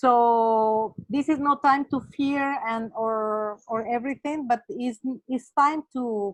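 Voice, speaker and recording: Speaking at a very slow pace in a Spanish accent, the voice sounds dry and close with no echo. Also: woman. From Mexico, Acapulco. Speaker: webinar participant. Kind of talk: online discussion comment. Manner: halting, many fillers.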